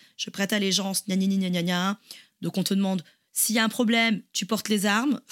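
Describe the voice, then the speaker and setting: Fairly quick in pace, a woman speaks with fairly even intonation. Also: medium pitch for a woman. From France, Toulouse. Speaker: podcast co-host. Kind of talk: casual chat. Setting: remote call.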